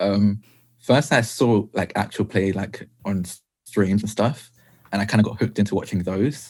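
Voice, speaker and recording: With a British accent, a man speaks at a moderate pace. His fairly low voice keeps a fairly even intonation. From England, Essex. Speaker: tabletop role-playing game player. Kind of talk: interview. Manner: halting.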